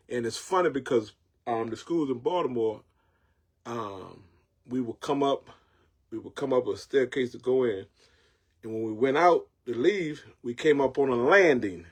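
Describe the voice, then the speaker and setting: Speaking in a Southern US accent, a man with a medium pitch has an animated tone, lively intonation and big swings in loudness, moving at a moderate pace with long, frequent pauses. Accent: Southern country twang. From North Carolina, Jacksonville. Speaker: online show host. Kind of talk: casual monologue. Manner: repetitive, stammering restarts.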